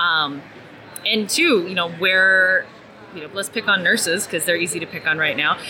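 Noticeable background noise sits under a voice with an American accent, ordinary pitch variation, big swings in loudness and a moderate pace. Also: woman, medium pitch for a woman. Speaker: talent acquisition strategist. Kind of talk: interview. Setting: conference.

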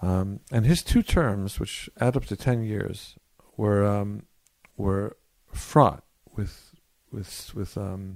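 A man's fairly low voice with an American accent at a very slow pace. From US West Coast (Berkeley, California). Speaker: rabbi and community activist. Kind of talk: interview conversation. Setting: in person with microphones. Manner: halting with repetitions.

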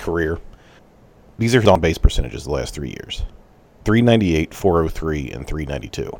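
A man with an American accent, very deep and low in pitch, with vocal fry, lively intonation, big swings in loudness, a fairly slow pace and long, frequent pauses. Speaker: podcast host. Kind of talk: casual chat.

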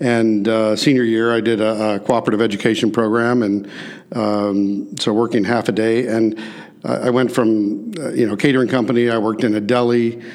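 A man's medium-pitched voice with a Midwestern American accent, monotone and flat, at a moderate pace, with audible room echo and noticeable background noise. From US Midwest, St. Louis. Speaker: restaurant chain executive. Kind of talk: interview. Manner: hesitant fillers.

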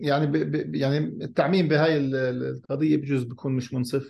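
Noticeable background noise accompanies a man who speaks at a fairly quick pace. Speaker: NGO director. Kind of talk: panel discussion.

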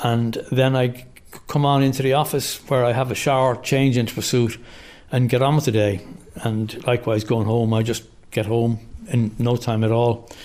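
A man with an Irish accent speaks at a moderate pace. His pitch is medium, and his intonation is fairly even. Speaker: commuter cyclist. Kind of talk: interview.

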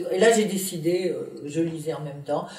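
Noticeable background noise and audible room echo surround the recording. A woman speaks at a fairly low pitch. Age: 70s. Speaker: anthropologist. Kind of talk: interview. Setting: at her home in Paris. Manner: halting with many fillers.

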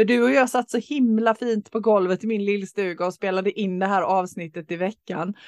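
A woman with a plain, everyday voice at a medium pitch, ordinary pitch variation, moderate pace and hardly any pauses, in a dry, close sound with no echo. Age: 50s. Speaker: podcast co-host. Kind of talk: casual chat. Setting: sitting on the floor in a cottage.

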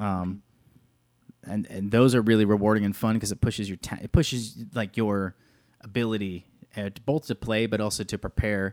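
In a very clean recording with a silent background, a man speaks in a normal speaking voice at a fairly low pitch. His pace is moderate, his intonation fairly even, and the sound is dry and close with no echo. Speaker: podcast co-host and band drummer. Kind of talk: casual chat. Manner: joking, playful.

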